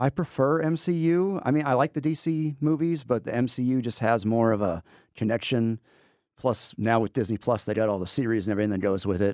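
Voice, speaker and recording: A man with an American accent talks at a fairly quick pace in a medium pitch and a plain, everyday voice. The recording is very clean with a silent background, and the sound is dry and close with no echo. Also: lively intonation. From Texas, Amarillo. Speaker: history teacher and navy veteran. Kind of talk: interview. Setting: studio.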